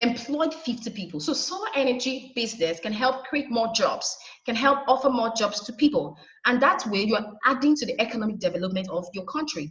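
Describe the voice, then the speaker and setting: A woman with a Nigerian accent talks fairly quickly, her voice fairly high with lively intonation. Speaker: solar energy trainer. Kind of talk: webinar presentation. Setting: online webinar.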